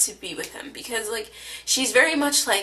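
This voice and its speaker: A woman speaks in a raised, projected voice at a high pitch. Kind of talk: casual TV recap talk to camera. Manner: casual, hesitant with many fillers.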